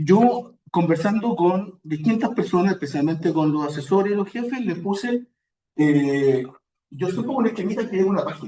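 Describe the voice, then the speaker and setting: A man's high voice with a dark, mellow tone, a strong Chilean accent, lively intonation and a moderate pace. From Chile, Santiago. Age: old. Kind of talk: spiritual talk.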